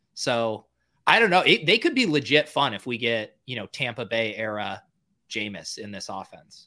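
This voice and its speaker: Captured on a very clean recording with a silent background, a man's bright, sharp tone shows big swings in loudness and ordinary pitch variation. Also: medium pitch for a man, moderate pace. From Boston area. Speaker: podcast co-host. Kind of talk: casual podcast chat.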